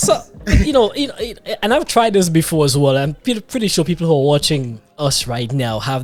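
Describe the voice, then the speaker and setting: With lively intonation and a fairly quick pace, a man speaks against noticeable background noise. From Grenada (Caribbean heritage). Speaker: podcast host. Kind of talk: casual interview chat.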